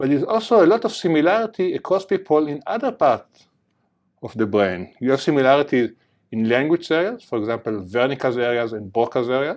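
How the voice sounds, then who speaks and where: Against a quiet background, a man with an Israeli accent talks at a fairly quick pace. His fairly high voice makes very wide pitch swings. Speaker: neuroscience professor. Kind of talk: lecture.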